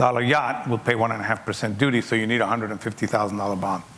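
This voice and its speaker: This man has a non-native accent and a medium pitch, and he talks at a very fast pace with fairly even intonation. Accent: noticeable foreign. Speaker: logistics executive speaking at a seminar. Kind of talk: seminar Q&A talk. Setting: conference seminar with audience.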